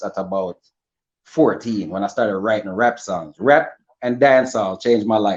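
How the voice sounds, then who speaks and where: A man talks at a fairly quick pace. He has a Jamaican accent. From Jamaica, Spanish Town, Saint Catherine. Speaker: rapper. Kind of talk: interview. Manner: casual, friendly.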